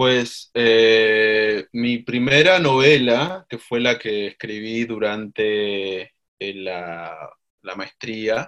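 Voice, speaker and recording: A man with a medium pitch talks at a very slow pace. His pitch varies in an ordinary way, while his loudness swings widely. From Argentina, Mendoza. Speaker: writer and university instructor. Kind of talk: interview. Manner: halting.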